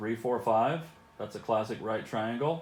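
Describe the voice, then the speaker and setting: This man's voice sits at a medium pitch, and its pitch varies in an ordinary way. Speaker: math teacher. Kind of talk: video lesson for students. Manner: casual, conversational.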